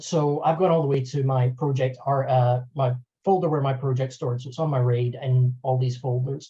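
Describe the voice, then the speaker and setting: Over a quiet background, a man's dark, mellow voice comes out somewhat breathy with fairly even intonation. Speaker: video editor and software trainer; software trainer. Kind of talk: webinar tutorial. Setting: online webinar. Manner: fast.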